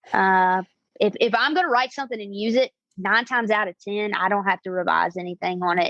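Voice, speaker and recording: The speech moves at a fairly quick pace in a Southern US accent, with a dry, close sound and no echo. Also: woman. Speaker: singer-songwriter. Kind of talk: interview. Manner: halting, many fillers.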